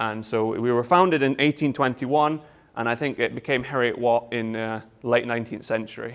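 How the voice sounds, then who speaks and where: With a Scottish accent, a man of medium pitch speaks at a fairly quick pace and fairly even intonation. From Scotland. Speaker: university lecturer. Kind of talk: lecture. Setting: open day presentation with audience. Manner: hesitant, many fillers.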